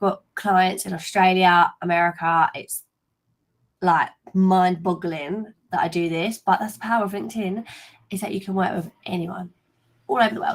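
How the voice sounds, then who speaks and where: With a London accent, a woman speaks at a medium pitch with fairly even intonation. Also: moderate pace. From East London, England. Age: 20s. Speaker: LinkedIn coach. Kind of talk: webinar presentation. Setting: live video stream.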